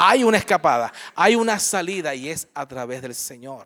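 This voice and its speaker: His tone is animated, with very wide pitch swings. The man's pitch is fairly high. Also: dry, close sound with no echo. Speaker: pastor. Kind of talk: sermon. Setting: church. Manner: warm, conversational, with frequent audience-directed questions.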